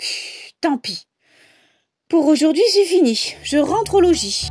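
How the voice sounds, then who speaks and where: In a cartoonish character voice at an extremely high pitch, a woman speaks at a fairly slow pace over faint music in the background. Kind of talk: children's animated story reading. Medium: read story. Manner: grumbling, sassy, dismissive.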